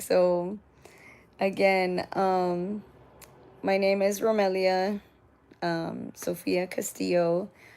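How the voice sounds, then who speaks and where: This woman's voice sits at a medium pitch. Her delivery is monotone and flat. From Southern California, Oceanside. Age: 40s. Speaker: livestreamer sharing personal story. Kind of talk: testimony. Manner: hesitant, many fillers.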